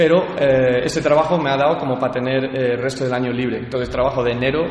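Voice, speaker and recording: A man talks very fast, his voice carrying audible room echo with noticeable background noise underneath. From California, US and Badajoz, Spain. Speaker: athlete and CrossFit gym owner. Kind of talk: interview. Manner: halting, many fillers and repetitions.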